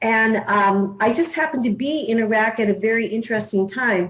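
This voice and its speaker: A woman with an American accent speaks at a moderate pace. Her fairly high voice is somewhat breathy, with ordinary pitch variation. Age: 60s. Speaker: newspaper publisher. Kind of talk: interview.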